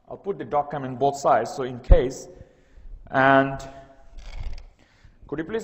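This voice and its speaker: Noticeable background noise and audible room echo accompany a man speaking with ordinary pitch variation. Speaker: university lecturer. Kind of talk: lecture. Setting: classroom with document camera. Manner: sometimes garbled speech.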